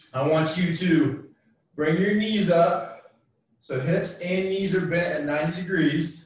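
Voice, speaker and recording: Amid strong room echo, a man speaks fairly slowly at a high pitch with fairly even intonation. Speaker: fitness instructor. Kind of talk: workout tutorial instruction. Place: garage. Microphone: camera far.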